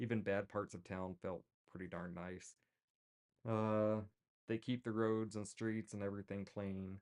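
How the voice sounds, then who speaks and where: Fairly low in pitch, a man speaks at a fairly slow pace in a monotone, flat way with long, frequent pauses, the sound dry and close with no echo. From Texas. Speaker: streamer crafting a fursuit. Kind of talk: casual livestream chat. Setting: at home, livestream.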